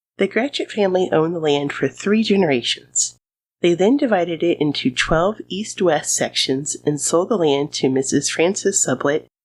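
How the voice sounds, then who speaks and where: Delivered at a moderate pace with a Midwestern accent, the speech has lively intonation. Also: woman. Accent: American Midwestern. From US Midwest. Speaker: history podcast host. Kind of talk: scripted narration.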